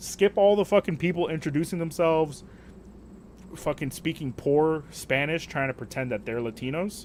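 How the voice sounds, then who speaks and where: A man's fairly high voice with lively intonation at a moderate pace. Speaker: gaming streamer. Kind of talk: casual livestream rant. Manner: animated.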